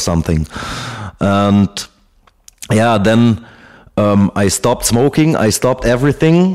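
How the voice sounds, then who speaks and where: A man speaks at a fairly low pitch in a German accent. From Germany. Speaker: ex-soldier. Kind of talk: interview answer. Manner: hesitant.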